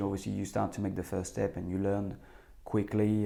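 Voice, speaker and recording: Talking at a fairly quick pace, a man has a dark, mellow tone. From France. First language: French. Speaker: former footballer and football manager. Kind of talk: interview. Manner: hesitant, many repeated words.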